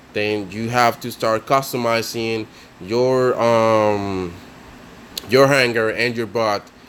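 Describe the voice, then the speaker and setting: Noticeable background noise sits behind a man speaking at a very slow pace. His pitch is medium and his intonation fairly even. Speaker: mobile game tutorial creator. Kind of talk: casual game tutorial voice-over. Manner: hesitant, many fillers.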